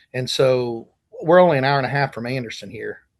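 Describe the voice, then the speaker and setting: This man has an unremarkable speaking voice at medium pitch, with an American accent. He talks at a moderate pace. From Indiana. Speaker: pastor. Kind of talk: interview.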